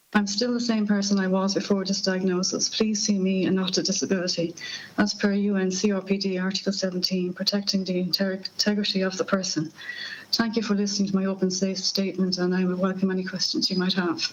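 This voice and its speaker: Very fast, flat and monotone speech from a woman with an Irish accent, medium-pitched, over noticeable background noise. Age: 50s. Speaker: person living with Parkinson's giving evidence to a parliamentary committee. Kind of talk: prepared opening statement. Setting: parliamentary committee hearing. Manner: halting, with stumbles and restarts.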